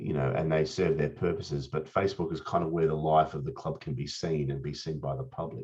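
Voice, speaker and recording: A man with an Australian accent talks fairly quickly in a very deep, low voice with vocal fry. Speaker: Rotarian presenter on social media. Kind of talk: presentation. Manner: casual, with frequent fillers and repetitions.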